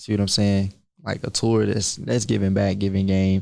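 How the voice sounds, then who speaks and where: With a normal speaking voice, a man talks at a fairly low pitch and a moderate pace with fairly even intonation, in a very clean recording with a silent background. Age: 20s. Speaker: young entrepreneur and credit educator. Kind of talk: casual interview.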